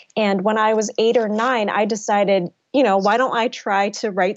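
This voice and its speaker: Speaking in an American accent, a woman with an ordinary speaking voice uses a fairly high pitch and a moderate pace. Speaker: novelist. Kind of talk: interview.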